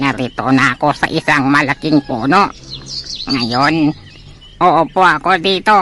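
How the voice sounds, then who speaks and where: A man's put-on character voice, fairly high in pitch, broken by long, frequent pauses amid clear background noise. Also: fairly slow pace, very even loudness. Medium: stage play.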